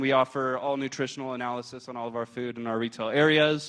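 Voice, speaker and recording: Against a quiet background, a man talks at a very fast pace. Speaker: hospital food service chef. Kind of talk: presentation to audience. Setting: stage with audience, handheld mic. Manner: loud; hesitant, many fillers.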